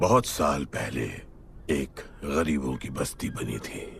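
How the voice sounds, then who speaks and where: Over clear background noise, a man uses a put-on character voice that is raspy, very deep and low in pitch, and very slow in pace. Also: ordinary pitch variation. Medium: short film. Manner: grave, terse.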